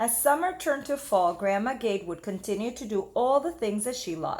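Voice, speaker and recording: The woman has a normal speaking voice, pitched fairly high. Her intonation is lively. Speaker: teacher. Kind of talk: children's book read-aloud. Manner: expressive, engaging.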